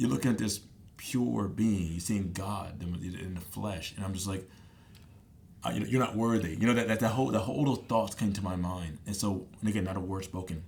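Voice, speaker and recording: In a room with audible echo, a somewhat breathy man speaks at a fairly quick pace with a fairly low pitch and an animated tone. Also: ordinary pitch variation. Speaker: podcast guest sharing faith and dreams. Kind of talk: casual interview conversation. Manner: fast.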